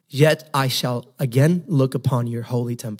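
Here is a man with a normal speaking voice. His pitch sits fairly high. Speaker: pastor. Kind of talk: sermon; fervent prayer. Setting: church. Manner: fervent, earnest, pleading.

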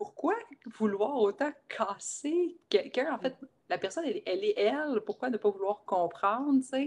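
Her pitch swinging very widely, a woman with a Quebec accent speaks at a fairly slow pace. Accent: Québécois French. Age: 30s. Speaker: life coach and shaman. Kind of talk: casual interview chat. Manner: animated.

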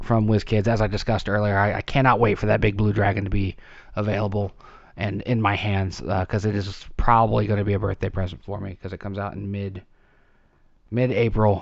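The delivery has monotone, flat intonation. It moves at a fairly quick pace. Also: man, fairly low pitch for a man. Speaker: podcast host. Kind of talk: solo monologue. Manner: rambling, hesitant with fillers.

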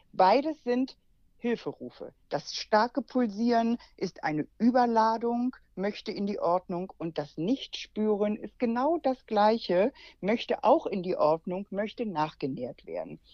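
A woman's fairly high-pitched voice with a dark, mellow tone, at a fairly slow pace, in a dry, close sound with no echo. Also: lively intonation. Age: 60s. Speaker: naturopath and healing-method teacher. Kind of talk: interview.

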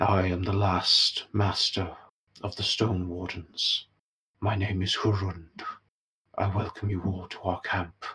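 Using a put-on character voice, a man speaks in a very deep, low register with a solemn tone, moving at a fairly slow pace broken by long, frequent pauses. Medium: actual play. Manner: slow, formal, solemn.

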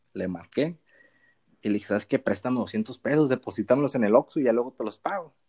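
Dry and close with no echo, a man's dark, mellow voice moves at a very fast pace with ordinary pitch variation. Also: medium pitch for a man. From Mexico, Sinaloa (Costa Rica town). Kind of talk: casual chat.

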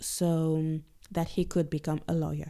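Her voice is fairly low for a woman, with a dark, mellow tone on a very clean recording with a silent background. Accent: French. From Guadeloupe. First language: French. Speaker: podcast host. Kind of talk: scripted narration.

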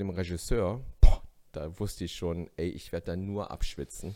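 On a very clean recording with a silent background, a man with a dark, mellow tone speaks at a fairly quick pace with ordinary pitch variation. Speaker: stand-up comedian. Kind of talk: casual chat. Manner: animated.

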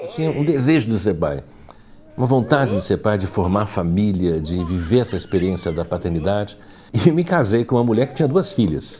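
A man uses a plain, everyday voice, speaking at a fairly quick pace and a fairly low pitch. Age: 60s. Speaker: architect and educator. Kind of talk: interview. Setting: at home.

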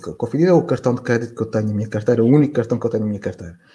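A man talks at a very fast pace, his tone dark and mellow and somewhat breathy. The recording is very clean and the background silent. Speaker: financial journalist. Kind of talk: casual interview conversation.

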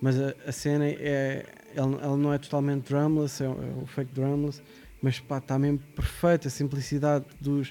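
A man's fairly high voice, flat and monotone, at a moderate pace. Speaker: hip-hop producer. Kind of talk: casual chat.

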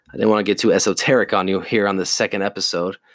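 A man's fairly low voice with an American accent at a very fast pace. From US South. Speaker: podcast host. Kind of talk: solo monologue, self-help talk. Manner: casual, hesitant with fillers.

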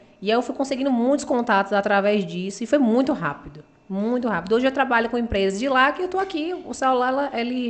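This is a normal speaking voice from a woman with a fairly high pitch. Her intonation is lively. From Bahia, Brazil (Uruçuca, Itabuna). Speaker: beauty pageant model. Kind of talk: interview.

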